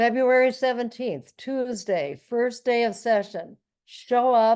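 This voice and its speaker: A woman's high pitch with ordinary variation and an American accent, at a very slow pace, over a quiet background. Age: 70s. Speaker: former state legislator and activist. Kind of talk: speech at online event. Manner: halting with repetitions.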